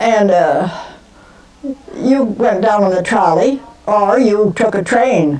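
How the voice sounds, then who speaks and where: A woman with an American accent speaks at a fairly high pitch over noticeable background noise. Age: 80s+. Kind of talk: interview answer.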